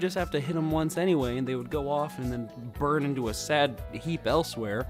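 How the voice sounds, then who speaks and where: The talking moves at a fairly quick pace. Music plays in the background. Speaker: gaming commentator. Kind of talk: video game commentary. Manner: casual, ranting.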